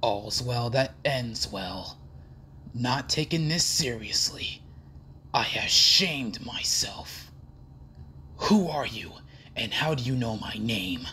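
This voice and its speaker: In a put-on character voice pitched low to middle, the speaker goes at a fairly slow pace with long, frequent pauses over clear background noise. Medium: voice reel. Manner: cold, serious, commanding.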